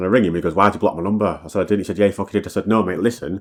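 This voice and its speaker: The background stays quiet. A man talks in a fairly low pitch. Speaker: musician and DJ telling personal story. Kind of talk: storytime monologue. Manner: fast; casual, repetitive fillers.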